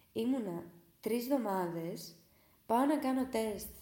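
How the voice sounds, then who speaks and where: In a room with audible echo, a woman talks very slowly with lively intonation. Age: 20s. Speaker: podcaster. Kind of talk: casual storytelling monologue. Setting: at home.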